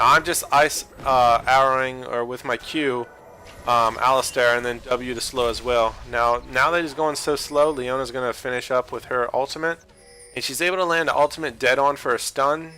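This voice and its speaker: Over music in the background, a man talks with fairly even intonation and big swings in loudness. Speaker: gaming video commentator. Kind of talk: gameplay commentary tutorial. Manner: fast; casual, filler-heavy.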